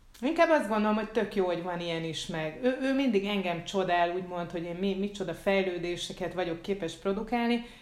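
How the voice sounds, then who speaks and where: At a fairly quick pace with hardly any pauses, the speaker uses ordinary pitch variation, with audible room echo and noticeable background noise. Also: woman, medium pitch for a woman. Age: 40s. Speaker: podcast co-host, writer. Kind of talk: casual chat.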